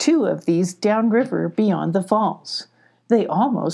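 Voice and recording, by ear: Someone is reading aloud in a natural voice.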